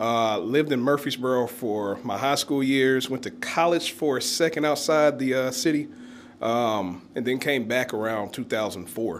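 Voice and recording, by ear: The delivery moves at a moderate pace with ordinary pitch variation. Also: man, medium pitch for a man.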